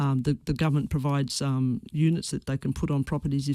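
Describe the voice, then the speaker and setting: A woman with an Australian accent speaks at a fairly quick pace, her very deep, low pitch carrying a dark, mellow tone and fairly even intonation. The recording is very clean with a silent background and a dry, close sound with no echo. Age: 60s. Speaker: former teacher. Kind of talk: radio interview answer.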